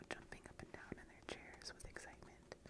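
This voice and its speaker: Amid noticeable background noise, the whispering unfolds at a moderate pace. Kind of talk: read-aloud story for relaxation. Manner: whispered.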